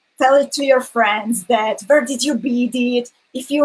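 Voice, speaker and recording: This woman's voice is high-pitched. The intonation is fairly even. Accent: non-native. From Hungarian minority in Slovakia. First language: Hungarian. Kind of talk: live-streamed craft tutorial.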